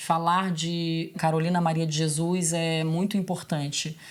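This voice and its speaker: This woman has a plain, everyday voice, fairly low in pitch, with fairly even intonation. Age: 30s. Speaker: singer-songwriter and teacher. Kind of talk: documentary interview.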